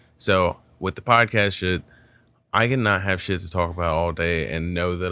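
A man with a very deep, low pitch and a bright, sharp tone. His pitch moves in an ordinary way, on a very clean recording with a silent background. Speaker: comedian and podcast host.

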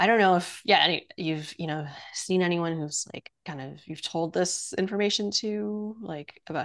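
Against a quiet background, a woman talks at a fairly slow pace with ordinary pitch variation. Her pitch is fairly low, and she has an ordinary speaking voice. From Quebec, Canada (Montreal). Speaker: workshop co-facilitator. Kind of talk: casual chat.

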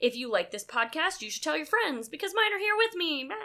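A woman speaks in a raised, projected voice with a bright, sharp tone and very wide pitch swings. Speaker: podcast host. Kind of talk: casual chat. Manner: animated.

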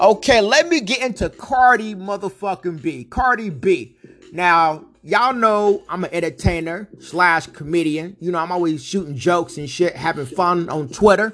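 This man has a high pitch and lively intonation. His pace is moderate. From Northern California, Vallejo. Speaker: podcast host and rapper. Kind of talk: casual monologue. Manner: animated.

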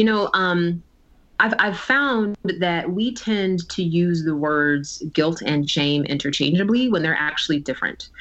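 Over noticeable background noise, a woman speaks at a fairly slow pace. Her voice is fairly low in pitch, with lively intonation. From New Jersey. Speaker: tech executive and author. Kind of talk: interview conversation.

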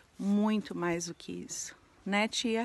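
Her intonation remains fairly even. This woman speaks very slowly. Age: 40s. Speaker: entrepreneurship educator and social media creator. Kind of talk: vlog monologue. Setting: abandoned house.

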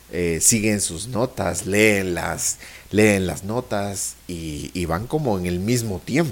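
Against noticeable background noise, a man with a fairly low pitch speaks at a very slow pace. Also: ordinary pitch variation. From Guatemala. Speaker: podcast host. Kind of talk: interview.

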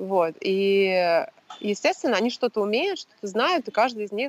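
A woman speaks fairly slowly in an ordinary speaking voice, medium in pitch with lively intonation. The sound is dry and close, with no echo. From Russia. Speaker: entrepreneur, former consultant. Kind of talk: casual chat. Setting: video call.

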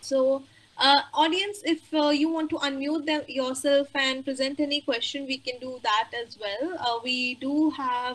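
A woman's raised, projected voice, high-pitched with a bright, sharp tone. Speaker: webinar moderator. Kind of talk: formal webinar moderation. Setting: online webinar.

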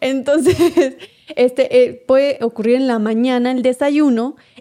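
A woman with a strong Venezuelan accent speaks at a high pitch in a dark, mellow tone with fairly even intonation. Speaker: podcast co-host. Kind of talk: casual chat.

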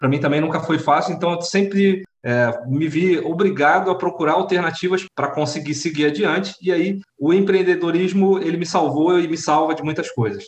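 A man speaks at a moderate pace with hardly any pauses. His pitch is high, and his intonation fairly even. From Rio de Janeiro and Sorocaba, Brazil. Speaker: startup community leader, workplace safety technician. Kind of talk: casual interview.

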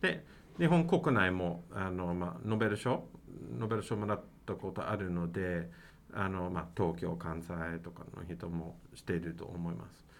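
Heard with audible room echo, the speaker has an English accent, a moderate pace, ordinary pitch variation and big swings in loudness. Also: man, very deep, low pitch for a man. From Canada, Mississauga near Toronto. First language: English (speaking Japanese). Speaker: university professor, international PR head. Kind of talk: interview. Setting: university building.

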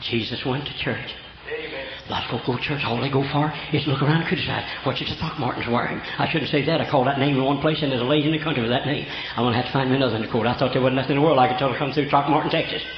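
A man with a Southern US accent, fairly high in pitch, talking at a very fast pace over noticeable background noise. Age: 70s. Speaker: preacher. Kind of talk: sermon. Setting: church. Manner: animated.

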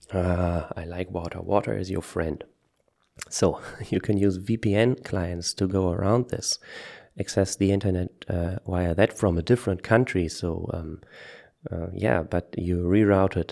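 In a German accent, a man speaks at a fairly slow pace with a very deep, low pitch, a dark, mellow tone and fairly even intonation, on a very clean recording with a silent background. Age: 30s. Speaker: podcaster. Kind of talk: solo podcast monologue. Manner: halting, many fillers.

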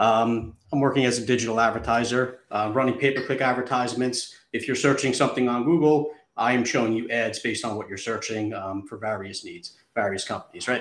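A man talks fairly quickly with hardly any pauses, in a plain, everyday voice. His pitch is medium and his intonation fairly even. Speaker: company founder, product seller. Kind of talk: casual chat, sales pitch. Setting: live stream.

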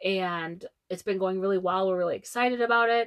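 Against a quiet background, a woman with an unremarkable speaking voice talks at a medium pitch with ordinary pitch variation. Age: 30s. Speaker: travel podcast co-host. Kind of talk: casual chat.

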